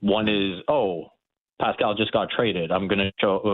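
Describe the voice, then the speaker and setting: This man has an ordinary speaking voice. His pitch sits fairly low. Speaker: basketball reporter. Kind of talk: casual sports analysis.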